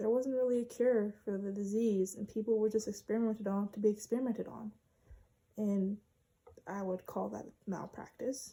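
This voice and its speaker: A woman's somewhat breathy, dark, mellow voice, fairly high in pitch, at a moderate pace with fairly even intonation. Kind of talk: informative speech presentation.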